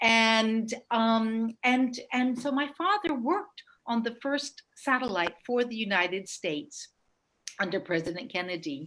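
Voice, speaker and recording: A woman speaks with an American accent in a plain, everyday voice at a fairly high pitch. Her intonation is lively and her pace fairly slow. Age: 60s. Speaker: space entrepreneur. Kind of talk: presentation with slides.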